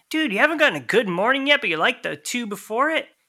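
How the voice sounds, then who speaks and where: A bright, sharp, raised and projected voice in an American accent, with very wide pitch swings, in a very clean recording with a silent background. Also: man. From Connecticut. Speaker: lathe cutting engineer and musician. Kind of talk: casual interview.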